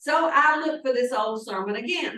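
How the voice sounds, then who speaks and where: A woman projects a raised, high, bright and sharp voice at a moderate pace with lively intonation. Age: old. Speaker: pastor. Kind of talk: sermon.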